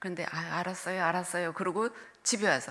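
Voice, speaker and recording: This is a woman speaking with a fairly low pitch. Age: 70s. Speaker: retired senior pastor. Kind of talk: sermon. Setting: church.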